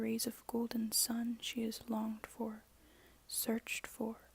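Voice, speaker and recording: A soft-spoken woman with a fairly high pitch and a fairly slow pace, in a dry, close sound with no echo. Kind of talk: ASMR poetry reading.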